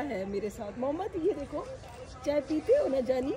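Crowd noise fills the background as a woman talks. Her voice is high and her pace moderate. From Pakistan. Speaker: family vlogger. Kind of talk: casual vlog talk.

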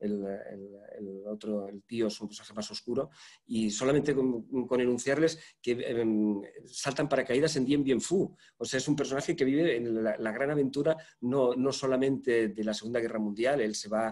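Here a man speaks at a moderate pace. The background is quiet. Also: ordinary pitch variation. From Spain. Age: 60s. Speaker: journalist and interviewer; journalist, interviewer. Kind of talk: literary conversation. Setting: online event. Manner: halting. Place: home room. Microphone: video call.

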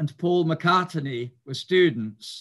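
A man with high pitch at a very slow pace, recorded over a quiet background. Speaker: speaker. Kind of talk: lecture. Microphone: video call.

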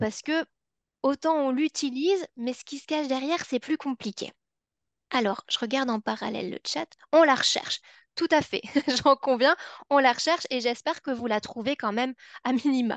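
A woman with a Belgian accent talks at a moderate pace with a high pitch, ordinary pitch variation, and long, frequent pauses, the sound dry with no echo against a quiet background. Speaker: psychology researcher; webinar presenter. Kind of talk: webinar presentation. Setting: online webinar. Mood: warm, engaging. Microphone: video call.

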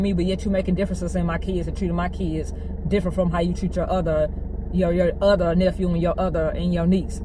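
A woman with a Southern US accent talks at a very fast pace. The sound is dry with no echo, though noticeable background noise is present. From Arkansas. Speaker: vlogger, stay-at-home mom. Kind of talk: angry rant, venting to camera about family conflict. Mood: angry, frustrated. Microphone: phone near.

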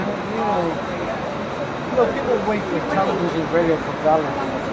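Crowd noise in the background behind a fairly quick delivery. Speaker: self-published poet. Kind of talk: casual street conversation. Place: street. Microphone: camera far.

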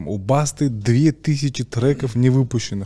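This man's voice has a dark, mellow tone, is somewhat breathy, and keeps a fairly even intonation. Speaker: podcast host. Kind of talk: casual podcast conversation. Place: studio. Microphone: studio mic.

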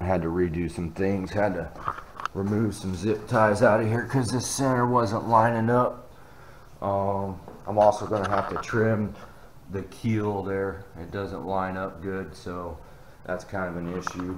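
Noticeable background noise is present. A man speaks at a fairly low pitch with fairly even intonation. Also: fairly slow pace. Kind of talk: casual build vlog commentary. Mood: relaxed, thinking aloud. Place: garage. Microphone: phone near.

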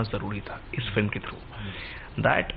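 There is light background noise in the clip. The voice belongs to a man. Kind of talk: interview answer. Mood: earnest, explaining. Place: office.

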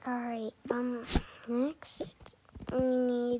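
Pitched fairly high, a woman speaks with a dark, mellow tone, a slightly husky edge, and vocal fry.

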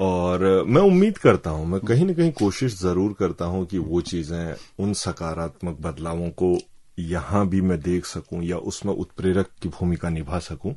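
A man's very deep, low voice with a dark, mellow tone, ordinary pitch variation and a fairly slow pace over a quiet background. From Uttarakhand, Kumaon (Bageshwar, Lohaghat); Uttarakhand. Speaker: journalist. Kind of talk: radio interview. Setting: radio studio. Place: studio.

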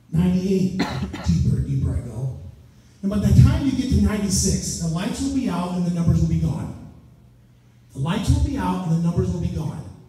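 A man speaks at a moderate pace. Strong room echo fills the recording. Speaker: stage hypnotist. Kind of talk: hypnosis induction, stage hypnotist patter. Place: hall. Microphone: camera far.

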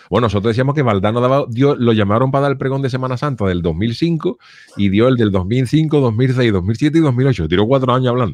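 The man's voice moves at a fairly quick pace with ordinary pitch variation and very even loudness, recorded with a dry sound and no echo. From Cádiz, Andalusia, Spain; Andalusia, Spain. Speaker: comedian and livestream host; comedian, livestream host. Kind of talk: casual chat. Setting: livestream from home. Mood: jokey, relaxed. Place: home room. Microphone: studio mic.

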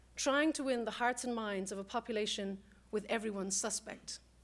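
Speaking very fast with an Irish accent, a woman uses a fairly high pitch and ordinary pitch variation. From Ireland. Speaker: political scientist; guest lecturer. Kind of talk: panel talk. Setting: stage with audience. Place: classroom.

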